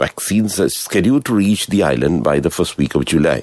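A man speaks at a fairly quick pace in a very deep, low voice with very wide pitch swings, the sound dry with no echo. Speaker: radio newsreader. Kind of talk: news reading. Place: studio.

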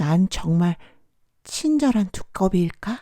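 A woman puts on a character voice at medium pitch. She delivers it at a fairly slow pace. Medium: read story. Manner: lively, excited.

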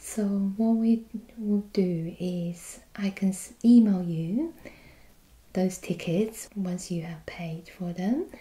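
A soft-spoken woman talks at a very slow pace in a dark, mellow tone. Her voice is somewhat breathy. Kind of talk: role-play customer service dialogue. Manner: soft-spoken ASMR clerk voice. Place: office. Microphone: camera far.

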